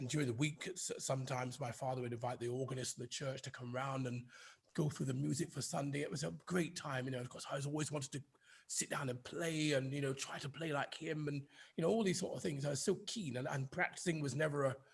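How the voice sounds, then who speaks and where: A man's fairly high, somewhat breathy voice with a British RP accent, ordinary pitch variation and a very fast pace. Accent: British RP-leaning English. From northern England, Oldham near Manchester. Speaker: conductor and organist. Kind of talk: interview. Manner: halting, many fillers and repeats.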